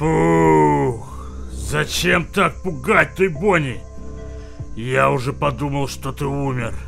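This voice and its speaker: Over clear music in the background, a man performs a put-on character voice at a fairly slow pace. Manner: warm, earnest, worried.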